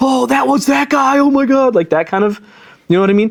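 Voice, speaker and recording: The tone is animated as a man talks. His pitch rises and falls very widely. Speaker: Islamic teacher. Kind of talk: religious lecture. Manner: fast.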